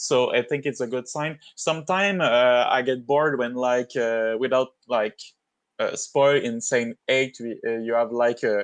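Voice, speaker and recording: A man with a non-native accent at a medium pitch, ordinary pitch variation and a fairly slow pace, against a quiet background. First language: not English. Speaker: game level designer. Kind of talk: casual chat. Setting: livestream.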